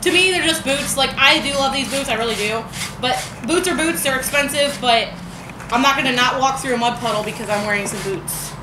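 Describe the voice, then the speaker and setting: Over noticeable background noise, a woman speaks in a high voice with lively intonation. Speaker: vlogger. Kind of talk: casual vlog chat. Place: garage. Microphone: camera far.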